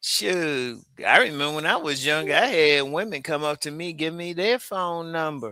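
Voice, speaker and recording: A man talks at a moderate pace with a fairly high pitch. His tone is bright and sharp, with ordinary pitch variation. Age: 60s. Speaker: dating commentator. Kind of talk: casual discussion. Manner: animated.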